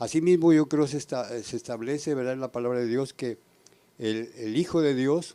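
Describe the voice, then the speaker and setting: In a dark, mellow tone, a man with a medium-pitched voice speaks at a fairly slow pace with ordinary pitch variation. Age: 70s. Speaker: church member. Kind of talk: panel discussion. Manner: halting.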